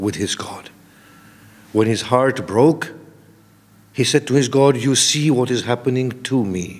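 A man speaking with ordinary pitch variation. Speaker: preacher. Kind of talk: sermon. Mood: earnest, reflective. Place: hall. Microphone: podium.

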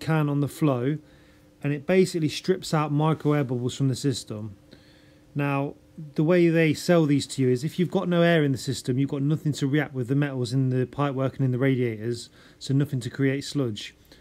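The man's pitch shifts in an ordinary way. He speaks fairly quickly. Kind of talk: tutorial. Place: home room. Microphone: phone near.

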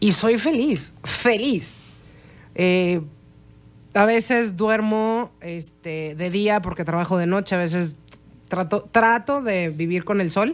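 This woman talks at a very slow pace. Her pitch sits in the medium range and varies in an ordinary way. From Mexico. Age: 40s. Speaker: chef; interview guest. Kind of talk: interview. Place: studio. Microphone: studio mic.

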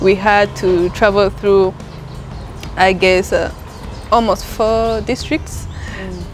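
A woman at a very slow pace, faint music in the background. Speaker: travel company guide. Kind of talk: interview answer. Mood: cheerful, laughing. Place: garden.

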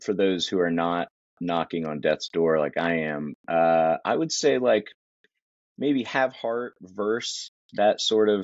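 Very slowly, a man speaks with lively intonation. The sound is dry with no echo, over a quiet background. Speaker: remote guest. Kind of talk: interview answer. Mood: dry self-deprecating humor. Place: home room. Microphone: video call.

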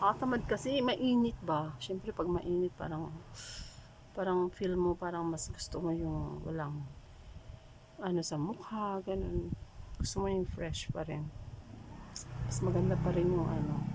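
Long, frequent pauses from a woman talking at a fairly slow pace. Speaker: vlogger. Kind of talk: makeup tutorial vlog. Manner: casual, halting.

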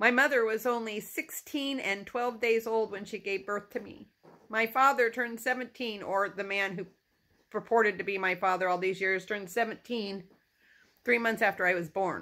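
A woman speaks in a bright, sharp tone. Her pitch variation is ordinary. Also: moderate pace. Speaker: personal vlogger. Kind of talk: emotional personal monologue. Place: home room. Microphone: phone near.

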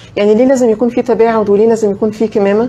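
A woman speaks in a plain, everyday voice with fairly high pitch. Her intonation stays fairly even. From Egypt. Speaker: infectious disease physician; guest. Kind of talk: health talk show interview. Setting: studio, live broadcast. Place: studio.

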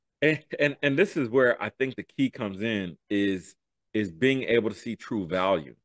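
Animated and lively in intonation, a man speaks at a moderate pace with an American accent. The sound is dry with no echo, and the background is quiet. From US urban neighborhoods. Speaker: podcast co-host. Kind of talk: interview answer. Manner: animated, hyped. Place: home room. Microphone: studio mic.

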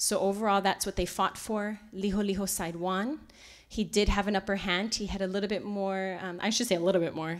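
Against a quiet background, a woman with a Hawaiian accent talks at a fairly quick pace with fairly even intonation. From Kailua-Kona, Hawaii. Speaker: resort culture director, lecturer; lecturer. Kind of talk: public lecture. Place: meeting room. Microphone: podium.

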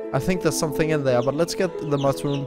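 Clear music can be heard behind the voice. The speaker is a man. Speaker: gamer. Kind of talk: casual gameplay commentary. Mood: relaxed, mildly puzzled.

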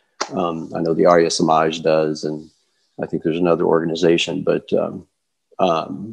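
Over a quiet background, a man with an American accent speaks at a moderate pace in a very deep, low pitch. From Kentucky, US South. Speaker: yoga teacher. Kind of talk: interview. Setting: video call. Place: home room. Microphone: earbuds.

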